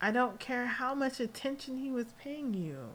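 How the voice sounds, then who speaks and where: A woman with an American accent and lively intonation. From Las Vegas, US. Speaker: podcast host. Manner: animated, excitable.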